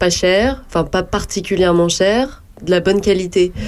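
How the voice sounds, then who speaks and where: A woman talks at a moderate pace in an unremarkable speaking voice. Her pitch sits in the medium range. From Burgundy, France (Yonne). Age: 20s. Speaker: shop owner. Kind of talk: radio interview. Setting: studio.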